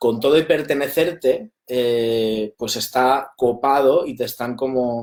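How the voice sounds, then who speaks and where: The voice is a man's, medium in pitch. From Spain, Valencia. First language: Valencian (Catalan) (speaking Spanish). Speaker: documentary film director. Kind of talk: interview. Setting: live stream.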